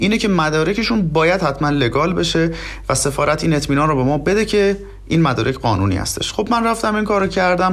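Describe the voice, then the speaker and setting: Noticeable background noise sits behind a man talking at a very fast pace and high pitch. His intonation is lively and his loudness very even. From southwestern Iran, oil region. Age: 30s. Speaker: immigrant master's student. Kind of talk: interview. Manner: polite, formal.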